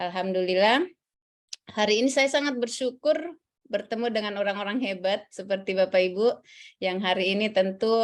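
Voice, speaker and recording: With a Central Sulawesi accent, a woman talks fairly quickly at a medium pitch with ordinary pitch variation. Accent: Central Sulawesi Indonesian. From South Sulawesi, Indonesia (Bone). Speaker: civil service trainer. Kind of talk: lecture. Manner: halting, many fillers.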